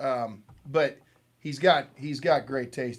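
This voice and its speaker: Speaking at a moderate pace, a man with an American accent uses an animated tone. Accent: semi-Southern. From Missouri, US. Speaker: bourbon livestream host. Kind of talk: casual chat. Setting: live stream.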